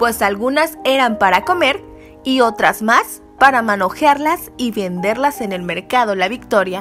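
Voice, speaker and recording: Over music in the background, a woman speaks fairly slowly with a fairly high pitch and lively intonation. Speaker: news reporter. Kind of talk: news report narration.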